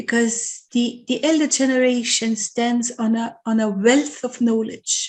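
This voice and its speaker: At a fairly slow pace, a woman speaks in a high voice. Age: 60s. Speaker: charity organisation host. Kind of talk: online interview conversation.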